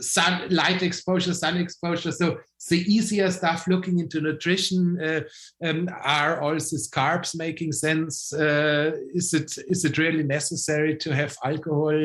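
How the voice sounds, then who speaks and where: A man with a German accent speaks at a fairly slow pace. His voice is fairly high for a man, with monotone, flat intonation. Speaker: biohacking expert. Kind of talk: interview. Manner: halting, many repeated words and fillers.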